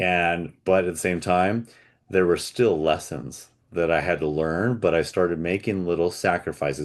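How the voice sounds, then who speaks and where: The background is quiet as a man speaks at a moderate pace. His pitch is very deep and low. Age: 40s. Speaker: podcast host. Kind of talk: casual conversation.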